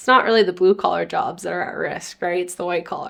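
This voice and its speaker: A woman's medium-pitched voice with vocal fry, in a Canadian accent. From Canada, Winnipeg, Manitoba. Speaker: tech startup founder. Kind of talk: interview. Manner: casual, filler-heavy.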